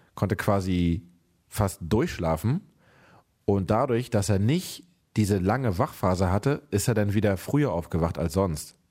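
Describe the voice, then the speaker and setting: A man with a fairly low pitch and lively intonation at a moderate pace, in a very clean recording with a silent background. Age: 30s. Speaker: podcast host, father of a toddler. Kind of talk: casual chat. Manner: animated.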